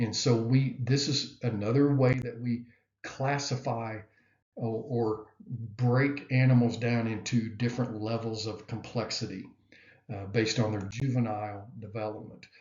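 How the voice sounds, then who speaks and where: The voice is somewhat breathy, at a moderate pace, with monotone, flat intonation. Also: man, medium pitch for a man. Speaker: biology professor. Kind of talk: lecture. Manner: hesitant with many fillers.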